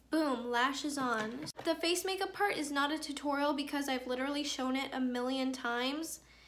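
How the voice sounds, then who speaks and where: Her high-pitched voice barely pauses as a woman talks at a moderate pace, with audible room echo around her. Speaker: beauty vlogger. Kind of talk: makeup tutorial. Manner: monotone.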